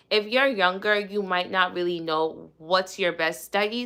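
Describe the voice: Fairly low in pitch and fairly slow in pace, a woman speaks with a bright, sharp tone that is also clear and smooth.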